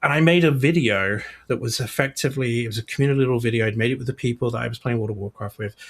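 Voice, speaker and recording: This man talks at a medium pitch with ordinary pitch variation and a somewhat breathy sound. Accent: British. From UK. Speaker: games publishing executive. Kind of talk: podcast interview.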